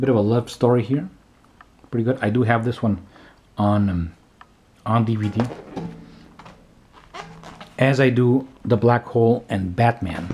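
Long pauses come often. A man talks at a moderate pace. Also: ordinary pitch variation. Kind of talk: casual show-and-tell commentary. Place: home room.

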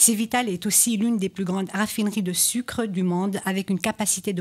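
With a somewhat breathy voice, a woman talks at a moderate pace and keeps her intonation fairly even. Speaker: radio talk show host; radio show host. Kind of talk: political panel discussion. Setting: radio studio, live. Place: studio. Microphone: studio mic.

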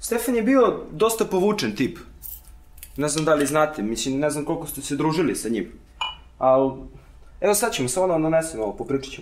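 At a very fast pace, a man speaks with very wide pitch swings. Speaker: host character. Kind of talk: scripted drama dialogue. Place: home room.

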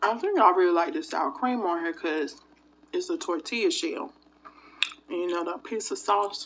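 Very wide pitch swings from a woman at a moderate pace, with light background noise. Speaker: food vlogger. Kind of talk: casual vlog chat. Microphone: phone near.

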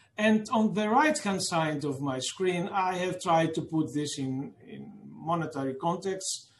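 In a room with audible echo, a man with a fairly high pitch and ordinary pitch variation speaks at a fairly slow pace.

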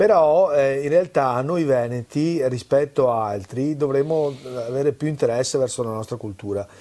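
The tone is dark and mellow. Pitch variation is ordinary. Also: man, fairly high pitch for a man, moderate pace. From Veneto, Italy. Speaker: cultural event organizer; guest. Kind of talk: interview. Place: studio. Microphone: lapel.

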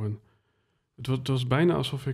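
Over a quiet background, a man speaks in a somewhat breathy voice with fairly even intonation. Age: 30s. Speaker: podcast host. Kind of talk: interview conversation. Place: studio. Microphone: studio mic.

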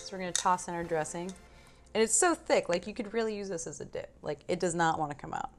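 Clear background music accompanies a woman as she talks. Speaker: cooking course host. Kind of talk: tutorial. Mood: cheerful, playful. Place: kitchen.

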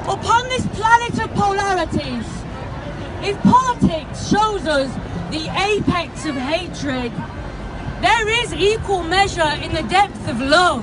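A woman at a fairly slow pace amid loud background noise, with a dry sound and no echo. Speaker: spoken word poet. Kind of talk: protest poem performed at a rally. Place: street. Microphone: handheld.

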